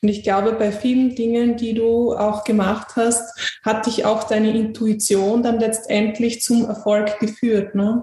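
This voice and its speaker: A woman talks at a fairly slow pace in a fairly high, monotone voice with flat intonation, very even loudness and hardly any pauses. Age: young. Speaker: podcast host. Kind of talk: interview.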